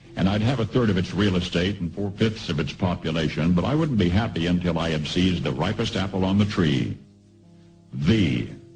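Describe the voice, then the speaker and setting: Music plays in the background as a man talks at a fairly quick pace. His pitch is very deep and low, with lively intonation. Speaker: radio broadcaster. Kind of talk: radio commentary broadcast.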